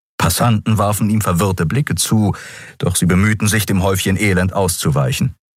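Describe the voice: The intonation stays fairly even in this plain reading aloud.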